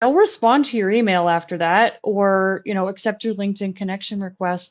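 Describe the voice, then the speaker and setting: A woman speaks at a fairly quick pace. The background is quiet. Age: 40s. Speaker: recruiter. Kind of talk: casual chat. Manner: fast; animated.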